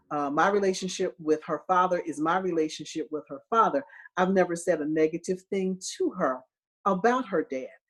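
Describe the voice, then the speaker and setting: A woman's fairly low voice at a moderate pace, an ordinary speaking voice with ordinary pitch variation. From US Northeast, Philadelphia. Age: 50s. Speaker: optometrist. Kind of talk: interview. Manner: conversational with filler words.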